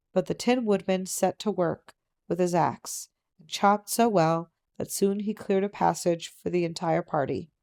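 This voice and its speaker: Soft-spoken, with fairly even intonation and big swings in loudness, the voice is captured in a very clean recording with a silent background and a dry, close sound with no echo. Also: woman, medium pitch for a woman, moderate pace. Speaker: audiobook narrator. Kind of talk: reading aloud.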